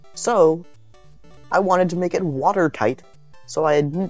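Someone speaks at a moderate pace. Music plays in the background. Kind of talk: casual tech video narration.

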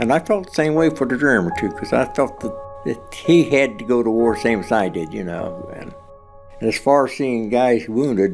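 Against clear music in the background, a man with a Western Pennsylvania accent speaks at a moderate pace and medium pitch, with very wide pitch swings. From Rochester, Pennsylvania. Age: 80s+. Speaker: war veteran. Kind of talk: oral history interview answer. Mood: somber, reflective. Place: studio.

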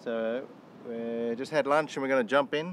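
A man's fairly slow speech with ordinary pitch variation, dry with no echo, over light background noise. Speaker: sailing vlogger. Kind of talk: casual vlog chat. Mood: relaxed, cheerful. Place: boat. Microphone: phone near.

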